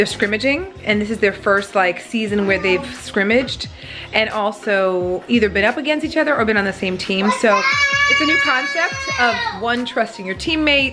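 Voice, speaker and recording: A woman talks at a moderate pace over loud music in the background. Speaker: family vlogger. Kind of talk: casual vlog chat. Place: kitchen. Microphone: phone near.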